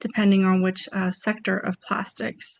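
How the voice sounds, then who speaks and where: Against a quiet background, a woman speaks at a moderate pace in a somewhat breathy voice of medium pitch with fairly even intonation. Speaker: trade promotion presenter. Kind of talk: webinar presentation. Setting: video webinar.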